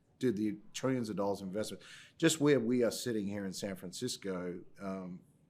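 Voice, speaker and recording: A man speaks with an Australian accent at a fairly quick pace. His pitch is fairly low, with ordinary pitch variation. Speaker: tech company CEO. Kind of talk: podcast interview.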